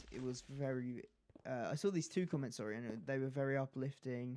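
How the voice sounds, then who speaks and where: The speaker is a man with an English accent. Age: young. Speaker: gaming YouTuber. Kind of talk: casual chat over gameplay. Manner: stutters, halting.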